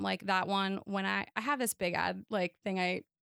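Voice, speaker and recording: A woman speaks loudly at a moderate pace, her pitch in the medium range. The sound is dry and close, with no echo. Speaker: wedding photographer. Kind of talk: casual interview.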